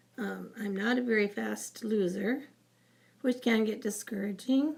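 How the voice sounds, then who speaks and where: A somewhat breathy woman's voice, fairly high in pitch, at a very slow pace. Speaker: vlogger sharing weight loss journey. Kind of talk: personal vlog testimony. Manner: hesitant, many fillers.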